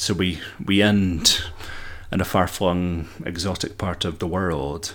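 A man speaks in a Scottish accent with a very deep, low voice. His pitch varies in an ordinary way. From Scotland. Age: 30s. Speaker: amateur book podcaster and literature student. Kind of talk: casual solo podcast monologue. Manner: chatty, laughs often; halting, repeats words.

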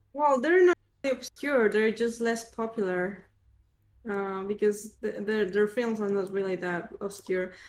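Her pitch is fairly high, with ordinary pitch variation and a fairly slow pace. This woman has a normal speaking voice. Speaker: podcast co-host. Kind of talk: casual chat.

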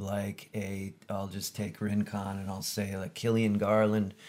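The recording is very clean, and the background is silent. A man talks with flat, monotone intonation. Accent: Californian. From US West Coast (Camarillo, California). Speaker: surf photographer. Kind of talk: casual interview. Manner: halting, many fillers.

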